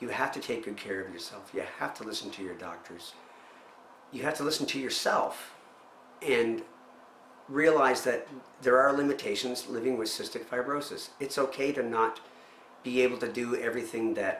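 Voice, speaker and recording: A man speaks at a moderate pace and medium pitch, with ordinary pitch variation, big swings in loudness, and long, frequent pauses. Audible room echo and noticeable background noise fill the recording. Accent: Maritime Canadian. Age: 50s. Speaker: person living with cystic fibrosis. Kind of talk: personal testimony interview. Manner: halting, repeats words.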